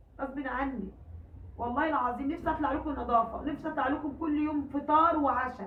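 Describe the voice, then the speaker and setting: Over noticeable background noise and audible room echo, the speaker talks at a moderate pace with fairly even intonation in an Egyptian accent. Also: woman. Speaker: home cooking vlogger. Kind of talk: casual vlog talk to viewers. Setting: at home.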